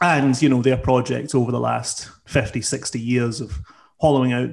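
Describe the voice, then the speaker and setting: In a very clean recording with a silent background, a man with a Scottish accent speaks at a medium pitch with fairly even intonation. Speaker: socialist activist. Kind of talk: political discussion.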